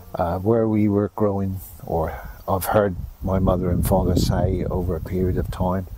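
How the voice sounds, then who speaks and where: A man's very deep, low voice at a moderate pace, with fairly even intonation and noticeable background noise. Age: 70s. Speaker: market gardener. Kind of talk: interview reminiscence.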